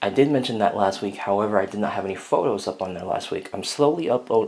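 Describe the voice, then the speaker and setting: Speaking very fast, a man uses a fairly low pitch with ordinary pitch variation. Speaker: LEGO hobby vlogger. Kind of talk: casual vlog update. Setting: at home, echoey room. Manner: loud. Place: home room. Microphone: phone near.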